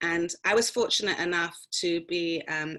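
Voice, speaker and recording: In a London accent, a woman speaks with a fairly low pitch and a bright, sharp tone. Her intonation stays fairly even. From London, England. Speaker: actor and prison activist. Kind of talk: interview answer.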